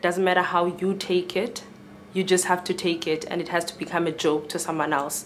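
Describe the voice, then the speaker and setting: Against noticeable background noise, a woman talks at a moderate pace in a fairly low pitch with monotone, flat intonation. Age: 20s. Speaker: student. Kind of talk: panel discussion.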